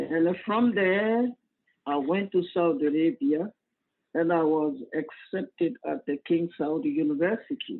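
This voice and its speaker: This man has a West African accent and a high-pitched voice. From Cote d'Ivoire. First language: Mandinka. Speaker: imam. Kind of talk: interview. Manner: halting.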